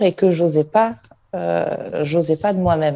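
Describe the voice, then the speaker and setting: A woman with a dark, mellow tone, lively intonation, and a fairly slow pace. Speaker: fitness team member, former medical secretary. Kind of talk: casual chat. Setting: video call.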